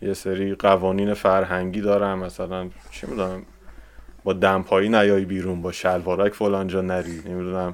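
A man's very deep, low voice, flat and monotone, at a moderate pace. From Iran. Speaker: visual effects compositor. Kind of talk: casual chat.

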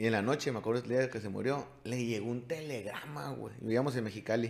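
A man talks at a fairly quick pace in a medium pitch, with ordinary pitch variation. His voice has vocal fry. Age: 40s. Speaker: podcast host and youth sports coach. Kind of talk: casual chat.

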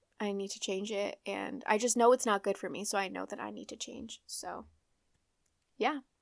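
A woman at medium pitch and a moderate pace, with vocal fry, ordinary pitch variation and big swings in loudness, on a very clean recording with a silent background. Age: 20s. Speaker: podcast host. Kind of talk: casual solo chat. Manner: casual, chatty, profane; fumbles words, stutters at times.

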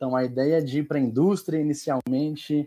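Using a normal speaking voice, a man talks at a moderate pace with fairly even intonation. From Minas Gerais, Brazil (Montes Claros). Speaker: operations executive. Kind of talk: live panel interview.

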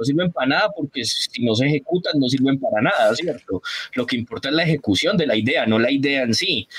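With a dry, close sound and no echo, a man in an ordinary speaking voice talks at a fairly quick pace and fairly high pitch, with lively intonation and very even loudness. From Colombia, Antioquia (paisa), raised on San Andrés island. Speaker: innovation analyst. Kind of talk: casual interview.

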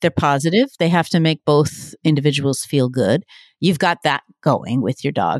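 A woman with an unremarkable speaking voice talks at a moderate pace with lively intonation, recorded very cleanly against a silent background. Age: 50s. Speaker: science writer. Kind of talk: interview about her book.

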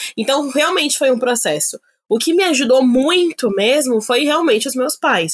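A woman at a moderate pace with very wide pitch swings, dry and close with no echo. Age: 20s. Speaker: plus-size model. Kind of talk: casual chat.

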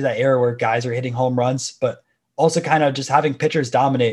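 A man's somewhat breathy voice with an American accent, medium pitch, fairly even intonation, and a very fast pace, in a very clean recording with a silent background. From Florida, Tampa area. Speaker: sports card YouTuber. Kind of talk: casual interview chat.

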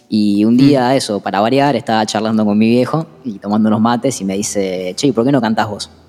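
Fairly low-pitched male speech in a Rioplatense accent, dark and mellow in tone, at a fairly quick pace with hardly any pauses and fairly even intonation. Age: 30s. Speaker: musician. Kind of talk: interview.

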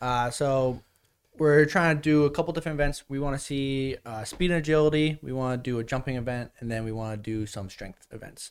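In a plain, everyday voice, a man with an American accent and medium pitch speaks with big swings in loudness on a very clean recording with a silent background. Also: ordinary pitch variation, fairly quick pace. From US Northeast, New Jersey. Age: 20s. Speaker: youth strength coach, former teacher. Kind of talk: casual chat. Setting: studio.

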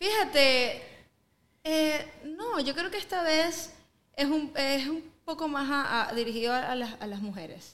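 Speaking fairly slowly with a Venezuelan accent, a woman uses a high pitch and lively intonation, leaving long, frequent pauses. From Venezuela (east, raised in Caracas). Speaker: singer. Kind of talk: casual interview. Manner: halting, many fillers.

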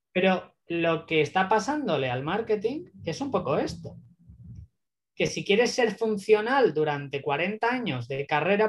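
High-pitched male voice, fairly slow in pace, with very wide pitch swings. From Spain (Barcelona). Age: 30s. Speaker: growth marketing consultant. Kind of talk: interview.

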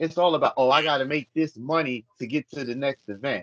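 A man talks at a fairly quick pace in a plain, everyday voice. His pitch varies in an ordinary way, and the sound is dry and close with no echo. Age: 50s. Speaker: adult industry producer. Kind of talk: casual chat.

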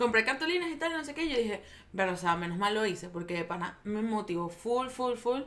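Amid noticeable background noise, a woman talks at a very fast pace, pitched fairly high with lively intonation. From Venezuela. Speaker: photographer. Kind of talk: casual chat.

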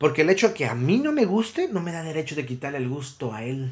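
In a very clean recording with a silent background, a man with a Mexican accent speaks in a somewhat breathy, fairly high voice with lively intonation. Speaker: podcast host and psychologist. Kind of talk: solo podcast monologue.

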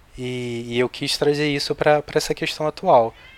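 Noticeable background noise is heard as a man speaks with fairly even intonation. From Rio de Janeiro, Brazil. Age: 40s. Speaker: novelist. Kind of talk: casual chat.

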